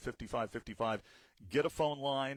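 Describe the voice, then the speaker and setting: At a fairly quick pace and with fairly even intonation, a man speaks in an unremarkable speaking voice. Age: 50s. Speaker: radio host. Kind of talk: casual chat.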